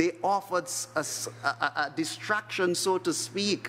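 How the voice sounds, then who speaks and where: Light background noise sits under a voice with ordinary pitch variation. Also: man. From Trinidad. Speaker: priest. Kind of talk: homily at Mass. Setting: church chapel. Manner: solemn, earnest, pastoral. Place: church. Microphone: podium.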